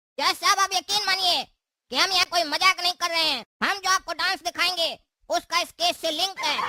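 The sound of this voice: This is a cartoonish character voice with extremely high pitch. It moves at a fairly quick pace.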